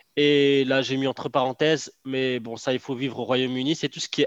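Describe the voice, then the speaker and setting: A man at medium pitch in a monotone, flat intonation, moderate pace, dry, close sound with no echo. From Morocco. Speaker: online entrepreneur. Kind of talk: casual interview chat. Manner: hesitant, with fillers and repetitions.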